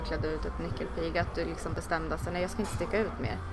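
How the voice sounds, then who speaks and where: A woman's very fast speech, with audible room echo and noticeable background noise. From Sweden. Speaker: podcast host. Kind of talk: interview.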